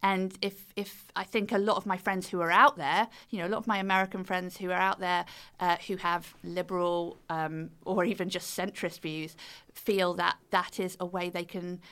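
The tone is bright and sharp, with fairly even intonation at a moderate pace, on a very clean recording with a silent background. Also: woman, medium pitch for a woman. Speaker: author and fiddle player. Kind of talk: casual interview chat.

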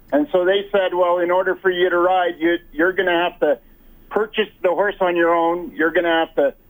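This man talks at a moderate pace with a Prairie accent. His pitch sits high for a man. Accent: Canadian English, Prairie. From rural Alberta, Canada. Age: 60s. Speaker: wheelchair athlete. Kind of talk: interview. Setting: phone call. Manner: halting, repeats words.

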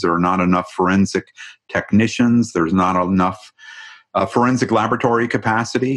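A man with a plain, everyday voice and a fairly low pitch. He speaks at a fairly quick pace with fairly even intonation. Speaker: founder of homicide data nonprofit, former journalist. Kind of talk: interview.

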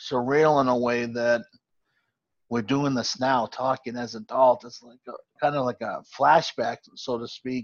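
A man uses a normal speaking voice at a medium pitch and a moderate pace. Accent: American. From Boston area, Massachusetts. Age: 40s. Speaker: sports podcast host. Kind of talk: casual chat.

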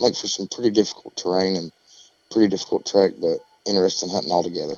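In an Appalachian accent, a man speaks with a very deep, low pitch. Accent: Southern Appalachian American. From East Tennessee, southern Appalachians. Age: 40s. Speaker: turkey call maker. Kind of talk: podcast interview.

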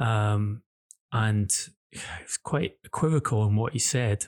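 A man talks at a very slow pace in a somewhat breathy voice of medium pitch with ordinary pitch variation, in a very clean recording with a silent background. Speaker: football journalist co-host. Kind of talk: football news podcast discussion. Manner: measured, hesitant with fillers.

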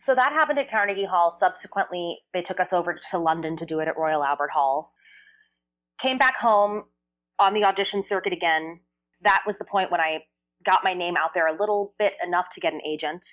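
This is an ordinary speaking voice with an American accent, at a fairly quick pace. Pitch varies in an ordinary way, and the background is quiet. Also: woman, medium pitch for a woman. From New Jersey. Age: 30s. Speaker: Broadway singer and actress. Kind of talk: interview.

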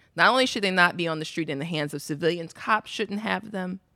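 A woman's fairly low, bright and sharp voice at a moderate pace, in a very clean recording with a silent background. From South Side of Chicago. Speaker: author and writer. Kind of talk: panel discussion. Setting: live recording with audience.

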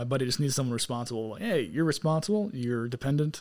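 The man's intonation is lively. He speaks at a very fast pace. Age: 20s. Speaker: guest, military contractor. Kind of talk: casual chat.

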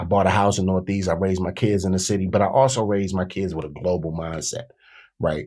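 In a very clean recording with a silent background, a man with an American accent races along very fast, his very deep, dark, mellow voice held to fairly even intonation. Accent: D.C. accent, Southern-tinged. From Washington D.C. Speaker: rapper and author. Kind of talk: casual interview.

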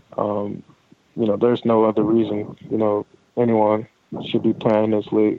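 A man's medium-pitched, monotone voice with flat intonation at a moderate pace. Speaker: professional football player. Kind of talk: casual interview. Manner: relaxed, hesitant with fillers.

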